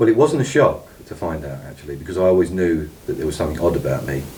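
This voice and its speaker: In a Cockney accent, the speaker talks at a fairly quick pace amid noticeable background noise and audible room echo. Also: man. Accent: Cockney London. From East London (Cockney). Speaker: interviewee, former elite insider. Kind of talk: interview. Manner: halting, many ums.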